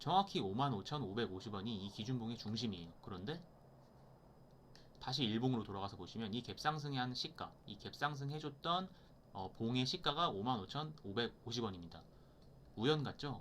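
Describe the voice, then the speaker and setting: A medium-pitched male voice with lively intonation. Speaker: stock market educator. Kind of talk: tutorial. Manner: fast.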